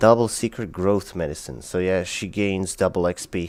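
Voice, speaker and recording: A man with a non-native accent talks at a moderate pace. His voice is very deep and low. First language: not English. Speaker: gaming streamer. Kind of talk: casual live stream commentary. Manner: casual, filler-heavy.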